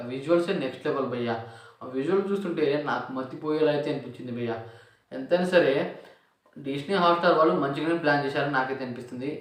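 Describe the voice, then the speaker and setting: Speaking with ordinary pitch variation, a man has a fairly high pitch. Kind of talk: casual movie trailer review to camera. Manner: excited, enthusiastic.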